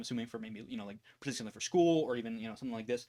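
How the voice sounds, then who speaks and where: This man's intonation is lively. He speaks at a very fast pace. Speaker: YouTuber answering viewer questions. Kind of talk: casual Q&A chat. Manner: fast, with many ums.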